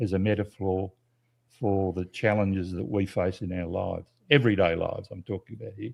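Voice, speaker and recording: A man in an Australian accent, fairly low in pitch, with fairly even intonation and a moderate pace. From South Australia, Adelaide. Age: 80s+. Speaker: nature photographer and educator. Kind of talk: interview. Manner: halting.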